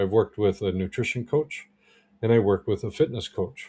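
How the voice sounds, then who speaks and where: Against a quiet background, a somewhat breathy voice with a dark, mellow tone moves at a fairly quick pace with ordinary pitch variation. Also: man. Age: 60s. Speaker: holistic health practitioner and coach. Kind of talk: livestream talk to viewers. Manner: casual, filler words.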